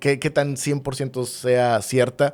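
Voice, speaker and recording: A man speaks at a medium pitch. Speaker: radio producer. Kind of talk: interview answer.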